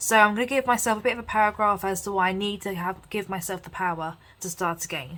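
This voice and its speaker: With an English accent, the speaker goes at a very fast pace in a bright, sharp tone with ordinary pitch variation. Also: woman, medium pitch for a woman, big swings in loudness. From England. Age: 20s. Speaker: lifestyle vlogger and psychology student. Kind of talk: chatty planner tutorial vlog. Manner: casual, lots of fillers.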